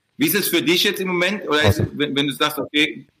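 A man's bright, sharp voice with a Mannheim accent. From Mannheim, Germany. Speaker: podcast host. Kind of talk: casual chat.

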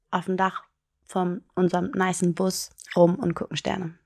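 A woman speaks fairly slowly in a medium pitch. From Hamburg, Germany. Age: 20s. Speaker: single on a blind date, vaccination centre worker. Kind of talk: casual chat. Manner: laughs often.

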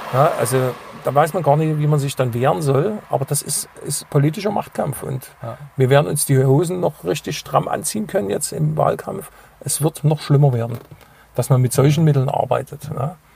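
There is noticeable background noise behind this voice. A man with a fairly high pitch talks at a moderate pace. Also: ordinary pitch variation. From Saxony, Dresden. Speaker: radio DJ and local politician. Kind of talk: casual interview.

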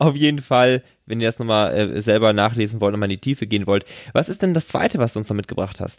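Speaking at a very fast pace, a man uses a medium pitch with ordinary variation. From western Germany. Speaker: podcast co-host on US politics. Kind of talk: casual chat.

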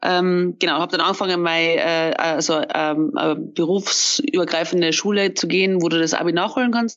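Loudness stays very even as a woman with a fairly low pitch speaks. Her pace is moderate and her pitch varies in an ordinary way. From Austria. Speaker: wedding photographer. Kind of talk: casual interview. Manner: halting, many fillers.

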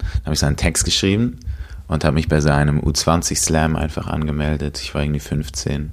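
A man with a very deep, low pitch at a moderate pace, over noticeable background noise. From Switzerland, Basel. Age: 20s. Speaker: slam poet and rapper. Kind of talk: interview. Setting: at a kitchen table.

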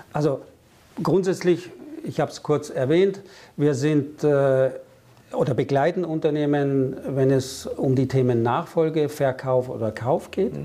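A man's fairly high voice with a dark, mellow tone, a fairly slow pace and ordinary pitch variation. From Germany and France. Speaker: business consultant. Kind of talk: interview.

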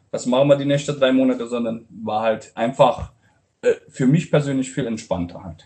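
A man uses a normal speaking voice at a medium pitch and a moderate pace, with ordinary pitch variation. His loudness swings widely. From Romania, Transylvanian Saxon (Brașov). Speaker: restaurant owner and chef. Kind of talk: interview.

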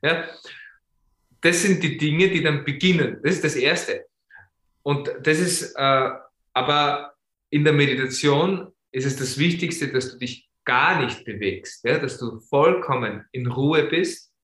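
Speaking at a very slow pace with long, frequent pauses, a man uses a fairly high pitch, ordinary pitch variation, and a bright, sharp tone. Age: 40s. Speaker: yoga teacher. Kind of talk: interview. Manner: halting, many fillers.

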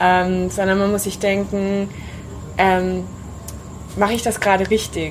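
A woman is speaking amid noticeable background noise. Audible room echo can be heard. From Allgäu, southern Germany. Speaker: yoga teacher. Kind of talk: interview conversation. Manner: hesitant, many fillers.

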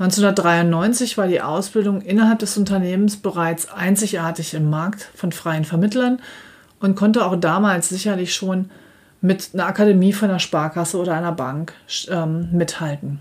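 In a plain, everyday voice, a woman speaks at a moderate pace with fairly even intonation. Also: medium pitch for a woman. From Germany, Dortmund (Ruhr area). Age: 50s. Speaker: financial advisor and podcast host. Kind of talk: solo podcast monologue, scripted. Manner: formal.

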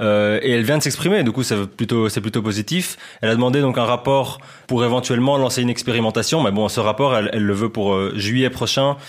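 A man with a Belgian accent talks at a fairly quick pace in a medium pitch, with ordinary pitch variation and very even loudness. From Belgium. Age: 20s. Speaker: football journalist. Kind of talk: casual podcast chat.

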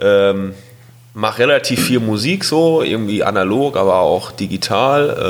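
A man with a fairly low pitch talks while noticeable noise fills the background. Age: 20s. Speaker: carpentry apprentice and hobby DJ. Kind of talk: casual chat.

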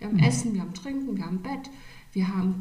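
A woman with lively intonation, amid noticeable background noise and audible room echo. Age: 50s. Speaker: interview guest. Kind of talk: casual interview. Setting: studio, sitting next to host.

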